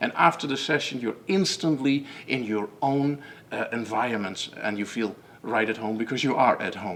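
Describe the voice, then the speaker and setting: A man with a strong Dutch accent, medium in pitch, at a moderate pace. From Netherlands. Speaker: method founder and coach. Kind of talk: webinar presentation. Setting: online webinar. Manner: halting, many fillers and repetitions.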